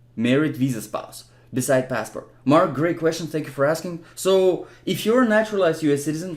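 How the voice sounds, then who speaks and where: The speech moves at a fairly quick pace with hardly any pauses. Its intonation is lively. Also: man, fairly high pitch for a man. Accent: non-native. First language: not English. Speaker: immigration help youtuber, not an attorney. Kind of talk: Q&A tutorial answering viewer comments. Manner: casual with frequent fillers and restarts.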